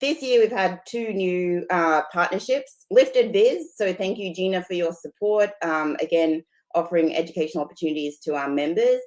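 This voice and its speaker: A woman with an Australian accent at a moderate pace, her intonation lively. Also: medium pitch for a woman. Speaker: partnerships director of a society. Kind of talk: meeting presentation. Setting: video call from home.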